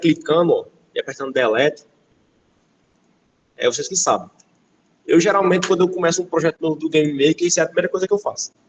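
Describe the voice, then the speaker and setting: This is a man speaking. His pace is very fast. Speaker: game development instructor. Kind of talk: lecture.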